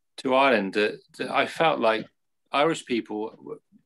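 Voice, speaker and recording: The man moves at a moderate pace. He speaks with an English accent. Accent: English, posh. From England. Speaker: Buddhist community leader. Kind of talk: interview. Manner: halting.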